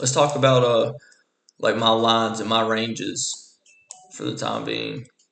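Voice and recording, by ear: A man speaks slowly at a fairly low pitch, with big swings up and down. His voice is raspy with vocal fry and a fairly bright tone.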